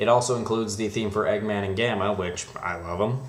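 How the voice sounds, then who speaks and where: Mumbling at a fairly low pitch, a man is heard against noticeable background noise. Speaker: CD collector. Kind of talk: casual talk to camera.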